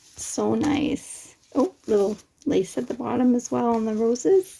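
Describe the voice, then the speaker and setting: A woman's fairly high-pitched voice. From Canada. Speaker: crafter unboxing happy mail. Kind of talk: casual unboxing vlog. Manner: animated, exclamatory.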